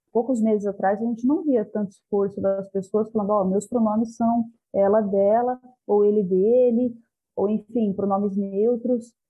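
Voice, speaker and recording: Over music in the background, a woman speaks at a moderate pace with a fairly high pitch, very even loudness and fairly even intonation. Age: 30s. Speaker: university student. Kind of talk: casual discussion.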